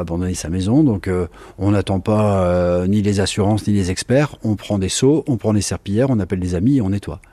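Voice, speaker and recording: A man's dark, mellow tone, fairly low in pitch with ordinary variation, at a moderate pace. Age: 50s. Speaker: flood victim. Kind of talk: testimony.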